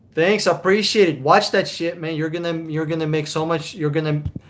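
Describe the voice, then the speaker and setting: An animated man with a high voice and a Russian accent. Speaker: car buying advisor. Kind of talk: live stream chat with viewers. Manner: casual, animated.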